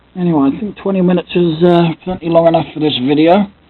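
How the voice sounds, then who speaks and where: A fairly quick delivery set against noticeable background noise. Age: 30s. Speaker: Lego collector and YouTuber. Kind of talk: casual vlog monologue. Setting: home, camera close to face. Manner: speaks loudly to compensate for camera; hesitant, many fillers. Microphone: built-in camera mic, quiet audio.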